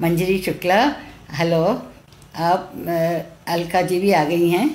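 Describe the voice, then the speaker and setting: A woman with a Tamil accent speaks at a fairly low pitch with ordinary pitch variation and very even loudness. Noticeable background noise and audible room echo fill the recording. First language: Tamil (speaking Hindi). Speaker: retired teacher and children's author, translator. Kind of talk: live-streamed talk. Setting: Facebook live stream. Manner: halting, with many fillers.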